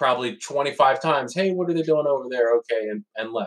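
Using a normal speaking voice, a man talks at a fairly quick pace in an American accent, with ordinary pitch variation. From Pennsylvania. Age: 40s. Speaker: father. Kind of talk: casual interview conversation.

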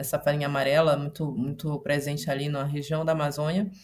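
The speaker is a woman. Her delivery has a somewhat breathy quality. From Belém, Pará, Brazil. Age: 30s. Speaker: artist. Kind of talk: panel discussion.

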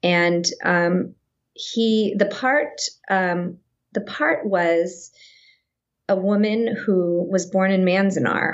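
Her voice at medium pitch with a Californian accent, a woman speaks very slowly with long, frequent pauses, very even loudness and ordinary pitch variation. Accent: General American (Californian). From Northern California (Sacramento). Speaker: actress. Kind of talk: casual interview chat.

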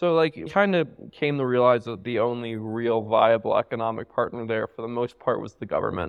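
A man with an American accent talks fairly quickly at a medium pitch, using a normal speaking voice. His intonation is lively, and his loudness swings widely. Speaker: entrepreneur. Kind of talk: casual interview. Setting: in person with live listener.

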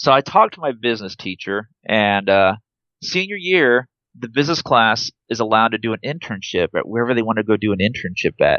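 With an American accent, a man speaks at a fairly quick pace in an unremarkable speaking voice, medium in pitch, with lively intonation. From Nebraska, US Midwest. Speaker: airline pilot. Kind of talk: interview, personal story.

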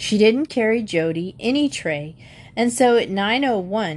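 With lively intonation, this clip features reading aloud in a natural voice.

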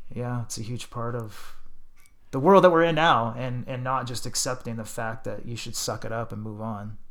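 A man with a Canadian accent speaks in an ordinary speaking voice at a medium pitch and moderate pace, with ordinary pitch variation. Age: 40s. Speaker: DJ. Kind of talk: casual chat.

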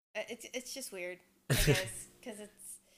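A woman with a fairly high pitch talks at a moderate pace, her pitch varying in an ordinary way. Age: 20s. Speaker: podcast co-host. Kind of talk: casual chat. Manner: loud.

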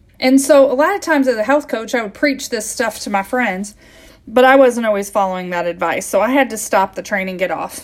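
With an American accent, a normal speaking voice carries lively intonation at a fairly quick pace. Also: woman, fairly high pitch for a woman. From US Midwest. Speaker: health coach and podcast host. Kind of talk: solo podcast monologue.

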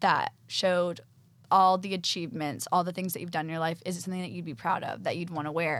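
A woman speaks at medium pitch. She has a Texan accent. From Texas. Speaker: fashion design assistant. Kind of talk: casual interview.

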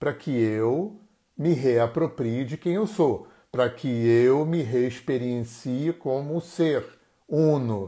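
A man with a Brazilian accent, fairly high pitch and a dark, mellow tone, lively intonation at a very slow pace, on a very clean recording with a silent background. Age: 60s. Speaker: therapist and live-stream host. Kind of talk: solo live-stream talk. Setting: Instagram live stream.

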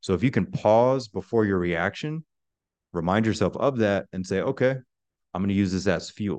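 A man with an ordinary speaking voice talks at a moderate pace in a fairly low pitch. His pitch varies in an ordinary way, and the background is quiet. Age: 30s. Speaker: army veteran turned life coach. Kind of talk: interview.

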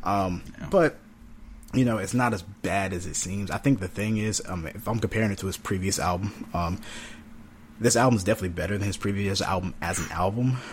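Somewhat breathy, this voice moves at a fairly quick pace in an American accent, with fairly even intonation. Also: man, fairly low pitch for a man. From North Carolina. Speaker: podcast co-host, music reviewer. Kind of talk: casual chat.

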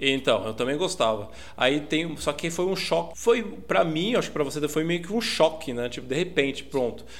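An ordinary speaking voice from a man, fairly high in pitch, with lively intonation, a moderate pace and hardly any pauses. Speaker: podcast co-host. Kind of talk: casual chat. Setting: remote recording over internet.

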